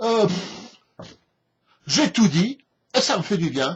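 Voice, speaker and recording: A man's high voice at a very slow pace. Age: 60s. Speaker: political commentator. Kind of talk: opinion rant. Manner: halting, many repetitions and hesitations; animated.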